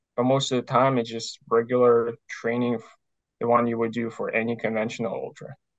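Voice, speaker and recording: A man talks at a fairly quick pace in a monotone, flat intonation. The background is quiet. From Ukraine. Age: 20s. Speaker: ultramarathon runner. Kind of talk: interview. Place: home room. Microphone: earbuds.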